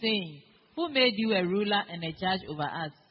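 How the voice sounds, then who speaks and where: Using an unremarkable speaking voice, a woman of medium pitch talks at a moderate pace with lively intonation. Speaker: congregation member reading scripture. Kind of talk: reading aloud.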